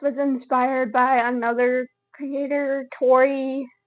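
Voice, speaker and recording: Against a quiet background, a woman with an American accent speaks high-pitched, her intonation fairly even. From Texas panhandle (small town). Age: 20s. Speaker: content creator. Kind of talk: casual vlog introduction. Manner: casual, filler-heavy (uh, um, like).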